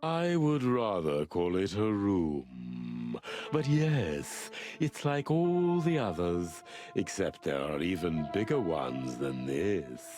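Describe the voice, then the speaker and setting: In a put-on character voice, a man speaks at a very slow pace and a very deep, low pitch. Clear music plays in the background. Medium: video game. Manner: polite, measured, enigmatic.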